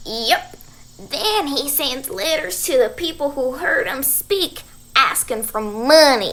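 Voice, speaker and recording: A woman puts on a character voice with a high pitch. She speaks at a fairly slow pace, her pitch swinging very widely. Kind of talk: rural folksy dialect. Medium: stage play. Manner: folksy, homespun.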